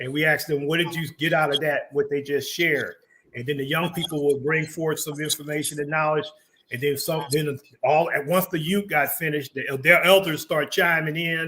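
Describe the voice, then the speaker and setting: Fairly high in pitch with a bright, sharp tone, a man speaks at a moderate pace with fairly even intonation. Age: 60s. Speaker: community talk show host. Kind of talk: casual interview chat.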